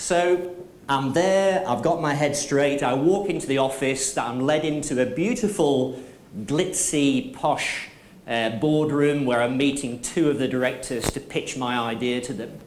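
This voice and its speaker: Noticeable background noise and audible room echo surround a man with a Manchester accent who speaks at a fairly slow pace and fairly high pitch with ordinary pitch variation. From northern England, Manchester. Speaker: motivational speaker and trainer. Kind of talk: conference keynote talk.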